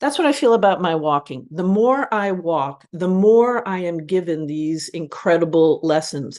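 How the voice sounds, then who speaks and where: A woman has an ordinary speaking voice, fairly low in pitch, with lively intonation. She moves at a moderate pace against a quiet background. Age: 60s. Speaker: advertising creative director and author. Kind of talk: podcast interview. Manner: reflective, with frequent fillers.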